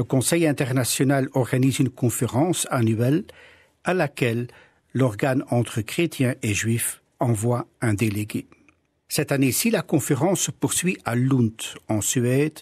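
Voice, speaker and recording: In a very clean recording with a silent background and a dry, close sound with no echo, a man with a Flemish accent speaks somewhat breathily at a fairly slow pace, with long, frequent pauses and very even loudness. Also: medium pitch for a man, ordinary pitch variation. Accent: Dutch (Flemish) accent in French. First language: Dutch (speaking French). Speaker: pastor. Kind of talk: radio interview.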